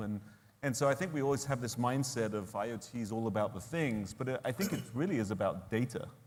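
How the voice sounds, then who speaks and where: A man with an American accent at a moderate pace, ordinary pitch variation and audible room echo. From East Texas. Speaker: tech executive. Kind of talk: panel discussion. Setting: stage with audience.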